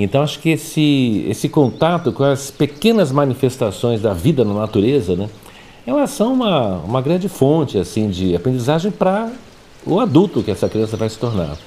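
A man's medium-pitched voice, dark and mellow in tone, with very wide pitch swings at a moderate pace. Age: 60s. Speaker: architect and educator. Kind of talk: interview. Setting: at home.

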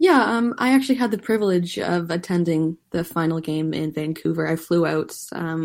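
This woman has an unremarkable speaking voice with a Canadian accent, a fairly low pitch, and a moderate pace. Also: very clean recording, silent background. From Canada. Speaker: soccer journalist. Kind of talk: casual chat.

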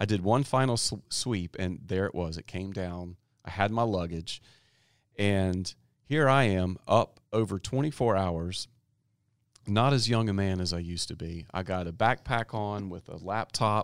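A man talks in an ordinary speaking voice, fairly low in pitch with ordinary pitch variation. His pace is fairly slow on a very clean recording with a silent background. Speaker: education podcast host. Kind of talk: interview. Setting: studio.

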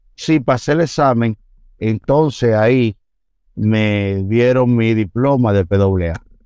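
At a very slow pace, a man talks at a medium pitch with a dark, mellow tone, very even loudness and ordinary pitch variation. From Dominican Republic, Santo Domingo (Los Mina). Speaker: police officer. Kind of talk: interview, life story. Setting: studio.

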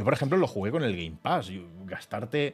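A man's very fast delivery with very wide pitch swings. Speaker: video game streamer and podcast co-host. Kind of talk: casual chat. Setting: live stream studio. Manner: animated.

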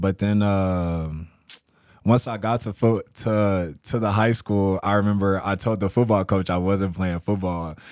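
A man with an American accent and an unremarkable speaking voice, fairly low in pitch, at a fairly slow pace with fairly even intonation, on a very clean recording with a silent background. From Texas, San Antonio. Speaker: entrepreneur, vintage clothing store owner. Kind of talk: casual chat.

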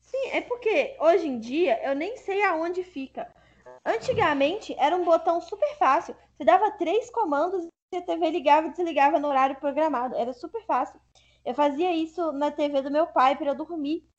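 The speaker goes at a moderate pace with lively intonation. Music plays in the background. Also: woman, extremely high pitch for a woman. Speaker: podcast host. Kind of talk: casual chat.

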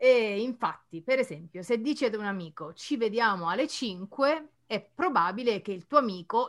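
A woman speaks at a moderate pace with a medium pitch and a bright, sharp tone. Her pitch swings very widely. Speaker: Italian teacher, podcast co-host. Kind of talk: casual chat.

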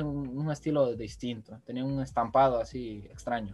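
At a moderate pace, an unremarkable speaking voice shows ordinary pitch variation. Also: man. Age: 20s. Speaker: podcast co-host, journalism student. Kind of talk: casual chat.

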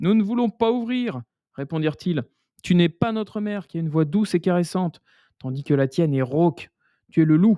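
Spoken at a fairly quick pace, the voice has a gentle tone and long, frequent pauses. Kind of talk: bedtime story told aloud, reading a fairy tale with a storyteller's cadence.

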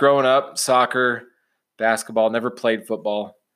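In a very clean recording with a silent background, a man with an American accent uses an ordinary speaking voice at medium pitch and a fairly slow pace. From Illinois (Champaign-Urbana). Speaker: sports betting podcast host. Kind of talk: casual chat.

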